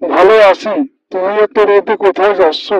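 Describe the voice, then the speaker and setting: Putting on a cartoonish character voice, a man speaks high in pitch with fairly even intonation. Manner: wheedling, falsely friendly.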